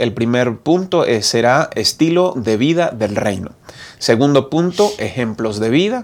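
A man speaks with very wide pitch swings. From Colombia, Bucaramanga (Santander). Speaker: pastor and program host. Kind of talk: moderated Bible study discussion.

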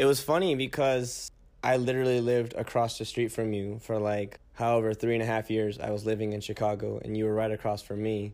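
In a Californian accent, a man speaks at a medium pitch. His pace is moderate, his intonation fairly even. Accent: Californian American English. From US West Coast, San Francisco Bay Area. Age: 20s. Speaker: medical student. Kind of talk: casual chat.

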